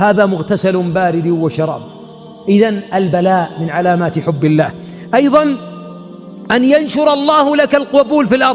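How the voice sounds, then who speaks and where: With music in the background, a man talks with very wide pitch swings. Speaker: Islamic preacher / sheikh. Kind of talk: religious sermon lecture.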